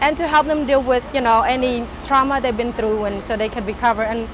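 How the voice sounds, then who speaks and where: Against noticeable background noise, a woman speaks at a high pitch and a fairly quick pace. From Cambodia. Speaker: refugee, master's student in human services. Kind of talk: personal interview.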